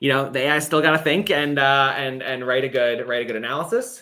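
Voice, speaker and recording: The man's bright, sharp voice sits fairly high in pitch, with fairly even intonation. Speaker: AI startup founder. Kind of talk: live software demo. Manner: fast; casual, with fillers.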